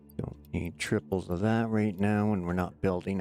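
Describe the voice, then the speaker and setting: An unremarkable speaking voice, this man talks in a Canadian accent at a fairly low pitch, with ordinary pitch variation and a dry, close sound free of echo. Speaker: gaming streamer. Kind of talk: live gameplay commentary. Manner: casual, chatty.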